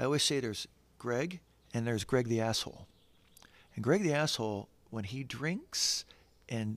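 A man speaks with an American accent and ordinary pitch variation. The recording is very clean, with a silent background. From San Diego, California. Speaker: recovery professional and entrepreneur. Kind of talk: interview storytelling. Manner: halting, with repeated words and fillers.

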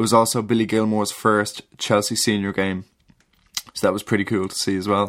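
A man with a Dublin accent, fairly low in pitch, with monotone, flat intonation. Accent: Dublin Irish. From Ireland, Dublin. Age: 20s. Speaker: listener contributor. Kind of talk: reading aloud.

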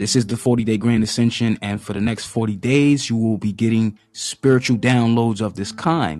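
A man speaks at a moderate pace with hardly any pauses, in an animated tone against a quiet background. His pitch is medium for a man, with ordinary variation. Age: 30s. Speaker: spiritual podcast host. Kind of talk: live-streamed motivational monologue. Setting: Facebook live video.

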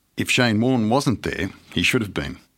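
In a very clean recording with a silent background, a man with an Australian accent speaks at a moderate pace. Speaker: history professor. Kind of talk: reading aloud; interview. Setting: studio.

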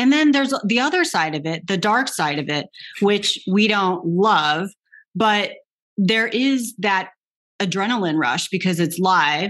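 Lively intonation and a fairly slow pace mark an unremarkable speaking voice. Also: woman, medium pitch for a woman. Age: 40s. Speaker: podcast host, former tennis player. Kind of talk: interview conversation.

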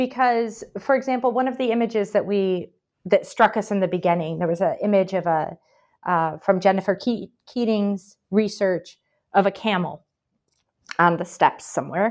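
A woman speaks in a Midwestern accent at a medium pitch and a moderate pace, with ordinary pitch variation. The recording is very clean, with a silent background. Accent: American Midwest. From Michigan, US. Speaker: historian, professor, book editor. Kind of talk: interview answers.

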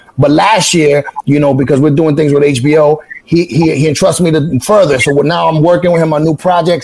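A man in a New York accent, fairly high in pitch, with fairly even intonation, very even loudness and a moderate pace, over noticeable background noise. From New York City, the Bronx / Highbridge. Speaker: website founder. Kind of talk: interview.

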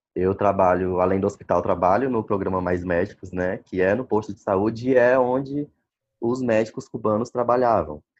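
This is an ordinary speaking voice at a moderate pace, with ordinary pitch variation. The background is quiet. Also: man, fairly low pitch for a man. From Brazil, Maranhão. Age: 20s. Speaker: doctor. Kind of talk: interview. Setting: phone call.

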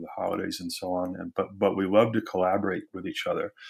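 A man with an American accent talks at a very fast pace in a very clean recording with a silent background. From US Midwest, Wisconsin. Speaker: anthropology professor and author. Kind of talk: interview. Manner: hesitant, many fillers.

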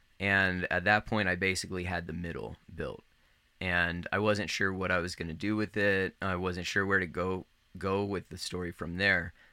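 With an American accent, a man talks at a moderate pace in a very deep, low voice, his bright, sharp tone held to a flat monotone on a very clean recording with a silent background. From Northern Virginia, US. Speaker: writer and guidebook author. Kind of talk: casual interview. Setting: trade show.

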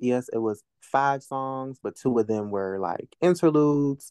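A man with an American accent speaks at a fairly slow pace with a medium pitch, ordinary pitch variation and a dark, mellow tone. The sound is dry and close with no echo, against a quiet background. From Virginia (Norfolk). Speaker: rapper and poet. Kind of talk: casual interview chat.

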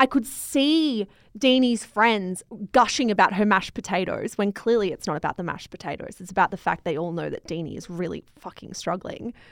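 On a very clean recording with a silent background, a woman in an Australian accent talks at a fairly quick pace with big swings in loudness. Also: medium pitch for a woman, lively intonation. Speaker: podcast host and media company co-founder. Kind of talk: casual book review chat.

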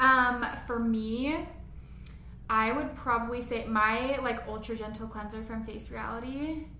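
A woman with an American accent speaks at a fairly slow pace and a fairly high pitch, with fairly even intonation and big swings in loudness, amid noticeable background noise and audible room echo. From Las Vegas, Nevada. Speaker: esthetician and podcast co-host. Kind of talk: casual chat.

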